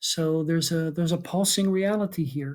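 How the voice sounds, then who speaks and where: A man speaks at a moderate pace in a somewhat breathy voice, recorded very cleanly against a silent background. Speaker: philosophy lecturer and author. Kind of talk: lecture. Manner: halting, many fillers.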